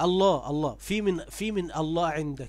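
High-pitched male speech at a moderate pace with ordinary pitch variation. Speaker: religious debater. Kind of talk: heated debate.

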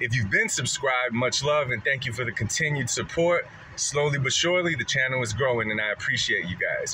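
Against faint background noise, a man with a medium pitch talks at a fairly quick pace, his tone bright and sharp and his intonation lively.

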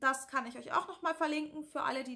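Against a quiet background, a woman uses a raised, projected voice with a bright, sharp tone. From northern Germany (Lower Saxony, near Hannover). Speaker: YouTuber with anxiety disorder; YouTuber answering viewer questions. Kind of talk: casual Q&A vlog. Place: home room. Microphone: phone near.

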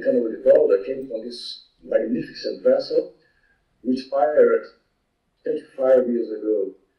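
With a Brazilian accent, a man talks at a very slow pace. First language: Portuguese. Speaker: environmental activist. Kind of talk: conference presentation. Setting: video call. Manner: halting.

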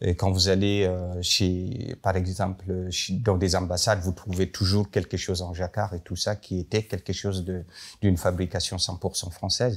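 A man speaks at a very deep, low pitch with monotone, flat intonation. His fairly slow delivery is somewhat breathy. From northern Cameroon. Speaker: contemporary artist and designer; guest. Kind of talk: panel talk. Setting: library event with audience. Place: hall.

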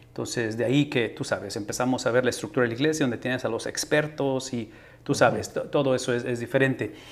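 This man speaks at a very fast pace. His intonation is fairly even. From Tamaulipas, Mexico (Ciudad Mante); Tamaulipas, Mexico. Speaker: podcast host, pastor. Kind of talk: interview conversation. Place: home room. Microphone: studio mic.

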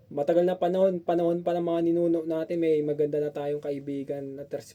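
A man speaks at a fairly quick pace in a fairly high pitch, his intonation monotone and flat. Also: hardly any pauses. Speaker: vlogger. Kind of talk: opinion vlog. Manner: halting.

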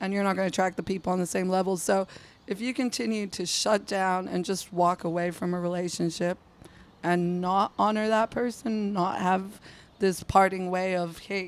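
A husky woman's voice at medium pitch, with little pitch movement and a moderate pace

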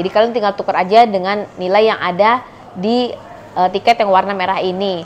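A woman over light background noise. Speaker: travel vlogger. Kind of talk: casual vlog chat. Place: cafe.

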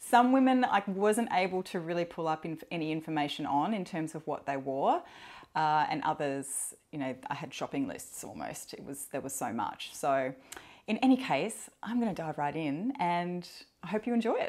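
A woman with an Australian accent talks at a moderate pace in a relaxed tone, her fairly low voice moving in very wide pitch swings. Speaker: perfume YouTuber. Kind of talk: casual solo vlog talk. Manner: relaxed, hesitant with fillers. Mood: friendly, smiling. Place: home room. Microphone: lapel.

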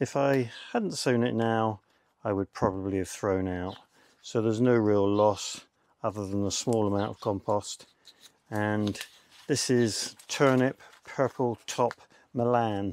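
Long, frequent pauses break up a man's fairly low voice. The intonation is fairly even and the sound is dry, with no echo. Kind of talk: tutorial. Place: garden.

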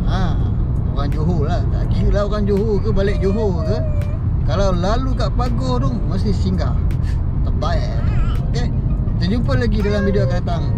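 Music plays in the background as a man speaks at a fairly slow pace with ordinary pitch variation. His speech has long, frequent pauses. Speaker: vlogger. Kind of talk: casual vlog chat. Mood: upbeat food review. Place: car. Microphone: phone near.

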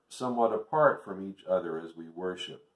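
A man talks, and audible room echo hangs on his words. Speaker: preacher. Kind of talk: sermon. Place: home room. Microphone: webcam.

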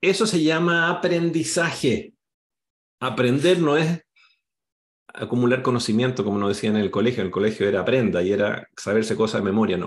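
A man talks at a fairly quick pace against a quiet background. His pitch swings very widely. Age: 50s. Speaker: career coach and company founder; career coach. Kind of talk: online workshop presentation. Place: home room. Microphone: webcam.

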